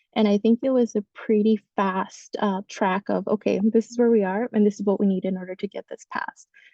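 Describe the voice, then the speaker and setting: Her intonation fairly even, a woman talks at a fairly quick pace and medium pitch. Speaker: community organizer and policy advocate. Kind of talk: panel discussion on a webinar. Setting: webinar call. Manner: fast; hesitant, many fillers.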